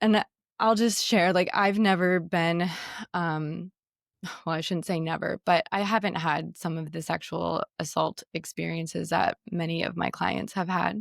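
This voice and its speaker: A woman uses a raspy, put-on character voice at fairly low pitch and a moderate pace. Her intonation stays fairly even, and the recording is very clean with a silent background. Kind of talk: therapist or counselor speaking openly. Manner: hesitant, self-correcting, sharing something vulnerable.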